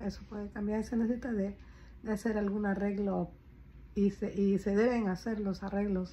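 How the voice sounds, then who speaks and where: Somewhat breathy, a woman speaks in a dark, mellow tone with monotone, flat intonation. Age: 50s. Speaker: caregiver and vlogger; vlogger. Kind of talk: casual personal vlog. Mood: reflective, somewhat worried. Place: home room. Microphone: phone near.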